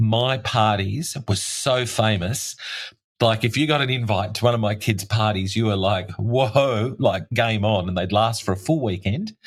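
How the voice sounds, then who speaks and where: Fairly slow, somewhat breathy speech from a man with an Australian accent, fairly low in pitch with ordinary pitch variation, in a very clean recording with a silent background. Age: 60s. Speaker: tunnel rescue expert and barrister. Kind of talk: interview conversation. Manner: animated.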